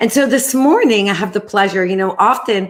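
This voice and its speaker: On a very clean recording with a silent background, a woman with a New York accent speaks at a moderate pace with ordinary pitch variation. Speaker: talk show host, nonprofit executive. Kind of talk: interview. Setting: video stream from home kitchen.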